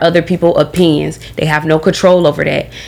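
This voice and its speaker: A woman talks in an animated tone at a fairly quick pace. Noticeable background noise is present. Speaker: podcast host. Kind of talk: casual chat.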